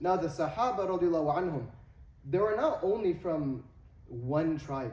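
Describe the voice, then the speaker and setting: A man talks at a moderate pace with an American accent. His pitch varies in an ordinary way, and the room echo is audible. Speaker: Islamic teacher. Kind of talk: lecture. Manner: halting with fillers.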